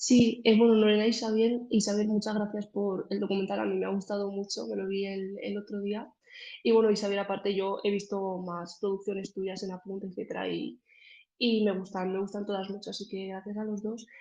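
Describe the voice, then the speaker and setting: Against a quiet background, a woman speaks at a fairly quick pace with a medium pitch. Her tone is dark and mellow, her intonation monotone and flat. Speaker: audience member asking a question. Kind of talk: Q&A question in online talk. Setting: video call. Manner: hesitant, many fillers.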